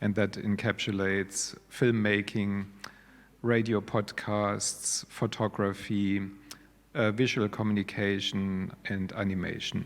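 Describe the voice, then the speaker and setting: A man with a German accent talks at a very slow pace and a fairly low pitch. His intonation stays monotone and flat. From Germany. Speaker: digital media course coordinator. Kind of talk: panel discussion.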